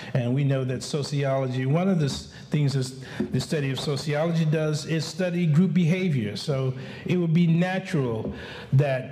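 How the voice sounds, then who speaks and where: A man talks in a fairly high pitch. Noticeable background noise and audible room echo are present. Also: ordinary pitch variation, moderate pace. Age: 60s. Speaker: community advocate. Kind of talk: conference speech. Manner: halting, many fillers and repetitions.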